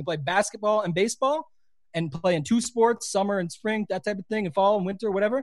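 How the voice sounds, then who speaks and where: With a slight Canadian accent, a man talks at a very fast pace with ordinary pitch variation. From Canada. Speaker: fantasy sports player and content creator. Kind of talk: casual interview chat.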